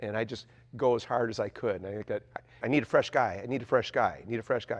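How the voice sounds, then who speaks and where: A man's very fast, medium-pitched speech with an American accent, fairly even intonation and big swings in loudness. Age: 70s. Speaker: former high school wrestler. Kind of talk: interview reminiscence.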